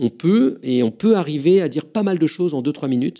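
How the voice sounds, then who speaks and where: In a very clean recording with a silent background, a man with a fairly high pitch and a dark, mellow tone speaks with ordinary pitch variation. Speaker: physicist and science communicator. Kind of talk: interview. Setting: recorded interview at a climate venue. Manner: fast.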